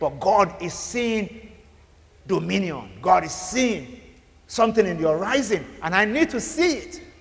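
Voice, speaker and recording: A man's high voice with very wide pitch swings and noticeable background noise. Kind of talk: sermon. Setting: church. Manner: fervent, rhythmic preacher's cadence with repeated phrases and call-and-response; loud, urgent and commanding, like decreeing blessings over a crowd.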